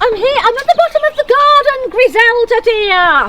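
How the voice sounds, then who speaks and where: Squeaky and extremely high-pitched, a female-sounding put-on character voice moves at a moderate pace. Background noise is clearly heard. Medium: stage play.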